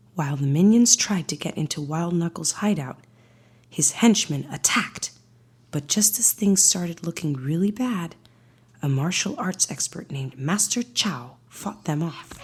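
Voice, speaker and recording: A woman's fairly low, somewhat breathy voice with a calm, soothing tone. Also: lively intonation, moderate pace. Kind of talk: bedtime story read-aloud.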